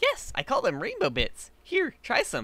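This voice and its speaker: Putting on a squeaky character voice, a man talks at an extremely high pitch and a moderate pace. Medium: read story. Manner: bubbly, giggly.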